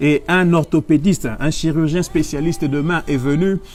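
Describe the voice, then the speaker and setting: This man's voice sits at a fairly high pitch. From DR Congo, Kinshasa. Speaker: pastor and medical doctor. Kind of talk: sermon. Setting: online livestream. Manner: repetitive, emphatic.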